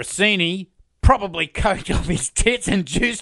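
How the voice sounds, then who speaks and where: With an Australian accent, a man uses a raised, projected voice that is high-pitched, bright and sharp, with lively intonation at a moderate pace. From Australia, Sydney. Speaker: true crime podcast host. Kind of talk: scripted narration.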